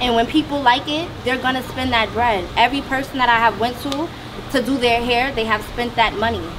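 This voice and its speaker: Over noticeable background noise, a woman with a high pitch speaks at a fairly quick pace with fairly even intonation. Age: 20s. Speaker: hairstylist. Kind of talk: self-introduction in group panel. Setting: mansion, group filming.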